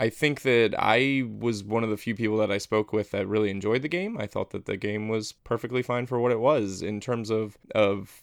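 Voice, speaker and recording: A man talks at a fairly quick pace in a fairly low pitch. His intonation is fairly even, and the background is quiet. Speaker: board game podcast host. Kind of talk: casual chat. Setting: Skype call.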